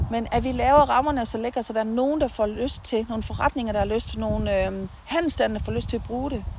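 A woman's moderately paced speech comes through with noticeable background noise. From Southern Jutland, Denmark (near Haderslev). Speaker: nurse and local political candidate. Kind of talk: interview. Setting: outdoors in a garden.

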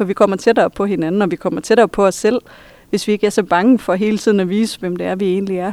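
Her voice sits at a medium pitch with a dark, mellow tone and fairly even intonation. The woman speaks very fast, and the sound is dry and close with no echo. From Denmark, Vendsyssel (Hirtshals). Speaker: high school teacher and psychotherapist. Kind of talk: interview. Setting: library.

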